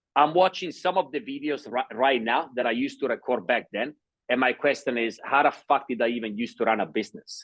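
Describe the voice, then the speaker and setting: At a fairly quick speed, a man talks with a non-native accent. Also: medium pitch for a man, lively intonation. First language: not English. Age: 30s. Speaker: sales entrepreneur. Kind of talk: interview.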